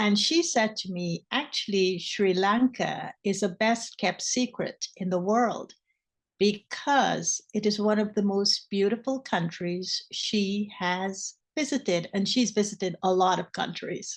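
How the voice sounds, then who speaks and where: Against a quiet background, a woman talks at medium pitch and a fairly slow pace. Her voice is somewhat breathy, with ordinary pitch variation. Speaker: spiritual teacher. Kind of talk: spiritual talk.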